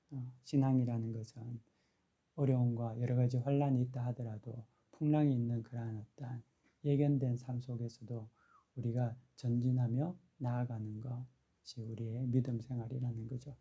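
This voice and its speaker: Soft-spoken and somewhat breathy, the voice has a dark, mellow tone, monotone, flat intonation, and a moderate pace. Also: man, medium pitch for a man. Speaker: pastor. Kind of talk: sermon. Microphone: no microphone, power outage.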